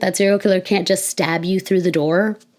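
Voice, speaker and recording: Someone with an American accent talks at a fairly quick pace. Noticeable background noise runs behind. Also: woman. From Florida, USA. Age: 20s. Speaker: filmmaker and writer. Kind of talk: casual talk to camera. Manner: casual, thinking aloud.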